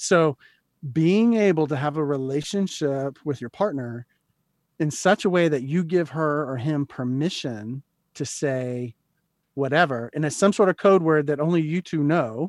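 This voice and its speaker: Speaking fairly slowly, a man with an American accent has a plain, everyday voice set at a fairly high pitch. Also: ordinary pitch variation, dry, close sound with no echo. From US South, Florida coast. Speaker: counselling center director and psychologist. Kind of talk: interview. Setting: video call.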